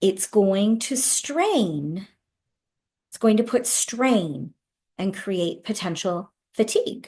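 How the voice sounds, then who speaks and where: Against a quiet background, a woman with a medium-pitched, dark, mellow and somewhat breathy voice speaks very slowly with lively intonation, big swings in loudness and long, frequent pauses. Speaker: webinar presenter on executive functioning. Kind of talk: webinar lecture. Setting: online webinar with sign language interpreters.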